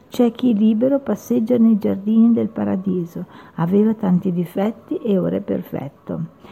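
Noticeable background noise comes through the recording. A woman speaks at a medium pitch. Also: ordinary pitch variation. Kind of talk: poetry reading, spoken-word style with solemn, lyrical delivery. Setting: radio studio. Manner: slow, measured, reflective and emotive, with pauses.

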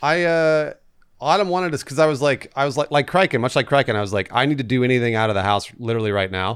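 A man talks very fast with lively intonation, recorded very cleanly against a silent background. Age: 30s. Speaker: podcast co-host. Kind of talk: casual chat.

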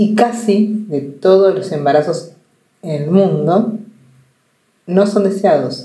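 At a very slow pace with long, frequent pauses, a somewhat breathy voice with a dark, mellow tone carries audible room echo. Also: woman, medium pitch for a woman, ordinary pitch variation. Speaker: journalist and podcast host. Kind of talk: personal monologue. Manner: conversational.

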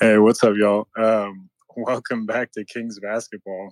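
The speech moves at a moderate pace in a dry, close sound with no echo. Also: man. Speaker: fan caller. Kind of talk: casual chat.

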